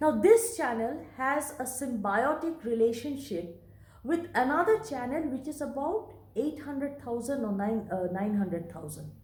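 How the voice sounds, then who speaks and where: With lively intonation and a high pitch, a woman speaks at a moderate pace in a Bengali accent, with audible room echo. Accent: Indian English, Bengali. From India, Bengal. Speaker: vlogger. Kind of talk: monologue vlog.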